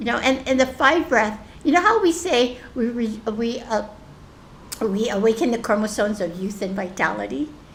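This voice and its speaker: Over noticeable background noise, a woman with a fairly high pitch talks at a moderate pace using lively intonation. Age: 70s. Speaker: spiritual group facilitator. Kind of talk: group sharing session. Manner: halting, many restarts and fillers.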